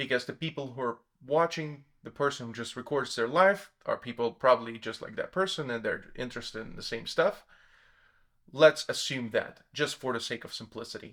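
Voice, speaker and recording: Medium in pitch, a man talks at a moderate pace in a non-native accent, with ordinary pitch variation and big swings in loudness. The recording is very clean, with a silent background. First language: not English. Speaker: self-development YouTuber. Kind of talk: explanatory monologue. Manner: hesitant, with fillers and self-corrections.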